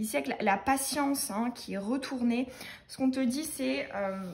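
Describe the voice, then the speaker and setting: The woman's voice is high in pitch with ordinary pitch variation. She speaks at a fairly slow pace. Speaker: tarot card reader. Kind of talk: tarot reading for viewers. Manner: many hesitations.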